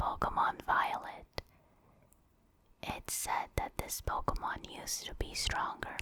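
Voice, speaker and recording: Someone whispers over noticeable background noise. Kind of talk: ASMR whispered reading.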